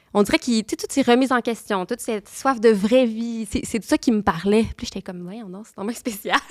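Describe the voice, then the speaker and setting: A woman with a Quebec accent, fairly high in pitch, with ordinary pitch variation, big swings in loudness and a fairly quick pace. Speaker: nun. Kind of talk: testimony. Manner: fast; halting.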